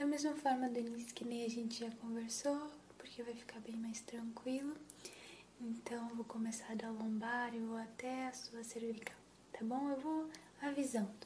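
A woman speaks at a fairly high pitch in a monotone, flat intonation. Noticeable background noise runs behind her. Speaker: ASMR creator playing a chiropractor. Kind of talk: ASMR roleplay, soft guided chiropractic session with breathing cues; intimate close-mic whisper-style role-play with reassurance. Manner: soft-spoken, slow, calm and soothing; gentle, reassuring, explains each step and counts breaths.

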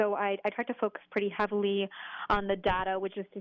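A woman talks at a medium pitch in a monotone with flat intonation. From New England. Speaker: author and journalist. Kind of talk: interview. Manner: halting, with repeated words.

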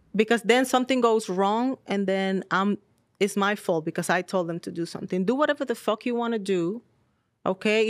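In a Spanish accent, a woman talks at a moderate pace with ordinary pitch variation. The sound is dry and close with no echo, on a very clean recording with a silent background. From Dominican Republic. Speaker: model. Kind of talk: casual chat. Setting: studio.

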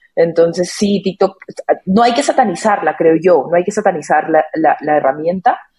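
In an ordinary speaking voice, a woman talks at a moderate pace with fairly low pitch, ordinary pitch variation and very even loudness. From Peru. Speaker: music marketing lead. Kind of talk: casual chat.

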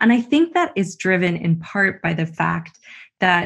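Here is a woman with a Canadian accent. Her voice is somewhat breathy. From Canada. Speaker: business school professor. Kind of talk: interview.

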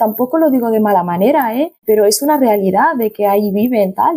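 This woman's voice is fairly high and somewhat breathy, with a dark, mellow tone and a dry, close sound free of echo. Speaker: podcast guest. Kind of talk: casual chat. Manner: halting.

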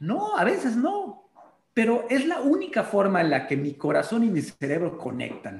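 Speaking in an animated tone, a man with a high pitch makes very wide pitch swings. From Mexico, Yucatán. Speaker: spiritual guide and medium. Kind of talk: casual interview.

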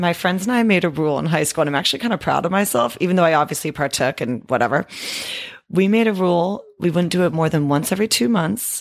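A woman's fairly low voice with an American accent, very fast, lively in intonation and very even in loudness. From Northern California, East Bay. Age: 30s. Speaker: podcast guest, gym acquaintance. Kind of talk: casual chat.

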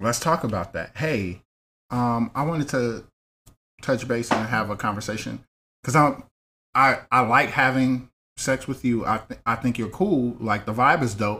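At a moderate pace, a man speaks at a medium pitch. His is a normal speaking voice. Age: 30s. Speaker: content creator. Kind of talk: casual chat.

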